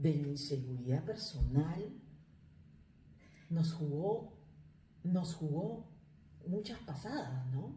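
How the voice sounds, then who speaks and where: A woman with a very deep, low pitch speaks at a very slow pace and with lively intonation, amid audible room echo. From Peru. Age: 40s. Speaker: life coach, migrant. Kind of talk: interview. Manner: halting.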